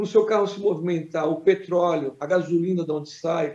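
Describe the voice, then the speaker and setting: Fairly even intonation and a moderate pace carry a dark, mellow tone. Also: man. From Brazil, Cubatão (São Paulo coast). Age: 50s. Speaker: city councillor. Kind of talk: interview.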